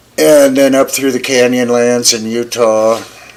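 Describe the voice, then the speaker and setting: There is noticeable background noise as a man with an American accent talks fairly slowly at a medium pitch with ordinary pitch variation. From US West, Flagstaff, Arizona. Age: 70s. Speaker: podcast host. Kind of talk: casual chat.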